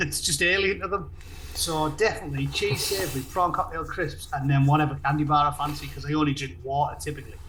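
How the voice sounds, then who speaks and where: Over noticeable background noise and audible room echo, a man with a Teesside accent speaks at a very fast pace. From northern England, Middlesbrough. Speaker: political commentator and content creator. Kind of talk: casual chat.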